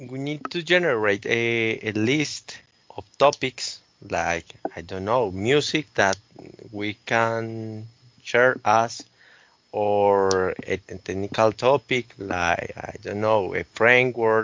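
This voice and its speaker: Speaking at a very slow pace, a man with a Spanish accent has a medium pitch and ordinary pitch variation. His loudness swings widely. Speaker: podcast host. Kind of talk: casual chat. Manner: halting.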